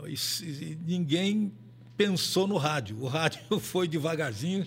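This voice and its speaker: At a fairly slow pace, a man speaks in a somewhat breathy way. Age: 80s+. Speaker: veteran radio and sports broadcaster. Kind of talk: casual interview. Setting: studio, live video stream.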